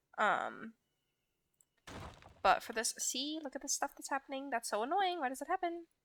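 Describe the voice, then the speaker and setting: A woman with a northern US accent, bright, sharp tone and lively intonation at a fairly quick pace, in a very clean recording with a silent background. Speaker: gaming YouTuber. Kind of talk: gameplay commentary. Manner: hesitant, many ums.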